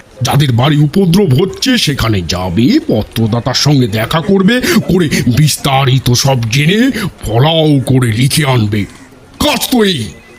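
A man puts on a character voice at a fairly high pitch with very wide pitch swings and very even loudness. Background noise is clearly audible. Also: fairly slow pace. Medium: audio drama. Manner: brisk, commanding.

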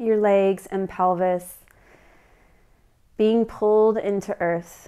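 A soft-spoken woman's calm voice, dark and mellow in tone, monotone and flat, at a very slow pace. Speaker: meditation guide. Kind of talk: guided meditation. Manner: calm, soft-spoken, slow. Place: home room.

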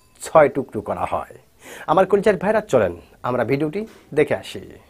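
In a quiet setting, a man talks with vocal fry, his pitch swinging very widely. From Bangladesh. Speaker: YouTube news commentator. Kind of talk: news commentary vlog addressed to viewers. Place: studio. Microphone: lapel.

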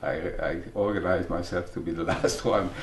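The speech moves at a moderate pace, with light background noise and audible room echo. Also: man. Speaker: early member of a psychology training school. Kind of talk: documentary interview. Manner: halting. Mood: warm, reminiscing.

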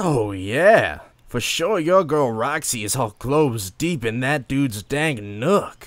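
A put-on character voice from a man, medium in pitch, at a fairly slow pace. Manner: slow, laid-back slangy drawl.

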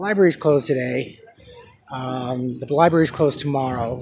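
The speech moves at a moderate pace. Noticeable background noise is present. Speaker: vlogger. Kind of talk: casual vlog chat. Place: market. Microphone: phone near.

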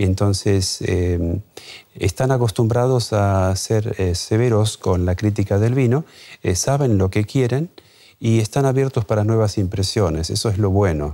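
A man speaks at a fairly slow pace in a fairly low pitch, his tone dark and mellow, his loudness very even and his pitch variation ordinary, against a quiet background. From Argentina, Chaco (north); Argentina. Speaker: wine importer and expert; interview guest. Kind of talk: TV interview. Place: studio. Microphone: lapel.

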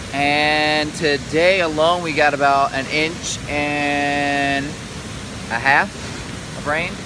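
A man speaks in a dry sound with no echo, with noticeable background noise around him. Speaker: vlogger. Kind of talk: casual vlog chat. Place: waterside. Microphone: phone near.

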